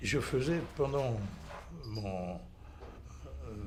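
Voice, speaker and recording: Very slowly, a man speaks at a fairly low pitch with vocal fry and very wide pitch swings. There is audible echo in the room. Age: 80s+. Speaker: patient. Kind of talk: testimony. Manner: halting.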